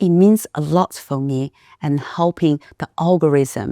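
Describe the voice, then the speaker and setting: A woman's very deep, low voice with a dark, mellow tone and a Chinese accent, fairly slow, with ordinary pitch variation, on a very clean recording with a silent background and a dry, close sound with no echo. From China. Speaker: podcast host. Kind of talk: interview.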